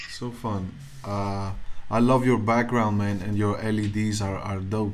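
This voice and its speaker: A man's fairly low, monotone, flat voice at a fairly slow pace, with audible room echo. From Greece. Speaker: podcast host and musician. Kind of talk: casual interview. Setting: live video stream.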